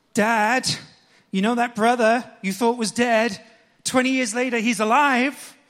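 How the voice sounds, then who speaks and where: The man's voice is extremely high in pitch. He talks very slowly, in a flat monotone. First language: English (speaking Japanese). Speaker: pastor. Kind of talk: sermon.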